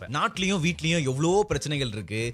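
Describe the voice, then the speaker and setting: A man's somewhat breathy voice. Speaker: radio jockey. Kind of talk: casual radio-style talk to camera.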